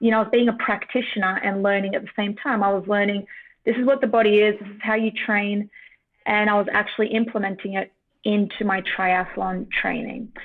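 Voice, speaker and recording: A woman with an Australian accent speaks at a medium pitch and a fairly quick pace. Her loudness swings widely. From Australia, Sydney. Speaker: neuroscientist and former triathlete. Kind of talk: podcast interview.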